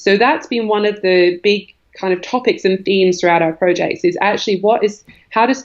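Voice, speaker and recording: A woman with a slight Australian accent speaks at a fairly quick pace, her medium pitch showing ordinary variation. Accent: faint Australian. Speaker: environmental organisation executive. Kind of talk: podcast interview.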